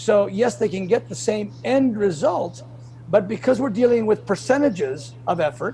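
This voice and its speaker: Here a man talks at a moderate pace with very wide pitch swings. Noticeable background noise is present. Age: 60s. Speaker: bodybuilder. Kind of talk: interview. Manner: animated.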